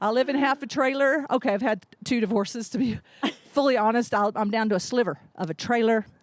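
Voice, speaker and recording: Animated woman's voice with a slight Ozark accent, fairly high pitch, ordinary pitch variation, and a fairly quick pace. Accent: slight Ozark twang. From Ozarks, US. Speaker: comedian. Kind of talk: stand-up.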